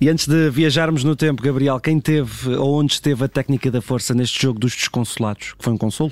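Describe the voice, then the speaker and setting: At a very fast pace with hardly any pauses, a man speaks at a medium pitch with fairly even intonation, the sound dry and close with no echo. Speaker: radio host. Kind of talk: casual chat.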